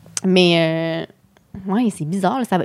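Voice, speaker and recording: A woman speaks with a normal speaking voice, fairly low in pitch and lively in intonation. The recording is very clean, with a silent background. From Quebec City suburbs, Quebec. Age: 30s. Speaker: comedian. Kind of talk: casual chat.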